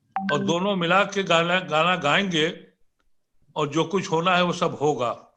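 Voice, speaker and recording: A man's high-pitched voice with fairly even intonation and very even loudness, music playing in the background. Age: 70s. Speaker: political commentator. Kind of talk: panel debate.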